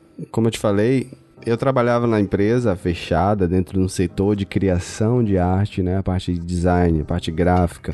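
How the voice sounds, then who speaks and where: With a very deep, low pitch and a dark, mellow tone, a man talks at a moderate pace with fairly even intonation. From Bahia, Brazil (Feira de Santana). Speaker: audio and video editor. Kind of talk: casual chat.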